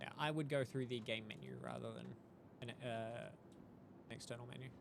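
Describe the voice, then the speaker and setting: Fairly quick speech from a man with an Australian accent, with audible room echo. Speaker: video game streamer. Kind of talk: casual live-stream commentary while gaming. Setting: live stream.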